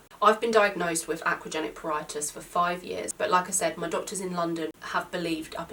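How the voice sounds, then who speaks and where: Over noticeable background noise, someone with a British accent talks at a very fast pace with fairly even intonation. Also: woman. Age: 20s. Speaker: YouTuber with a chronic skin condition. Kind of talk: vlog talking to camera.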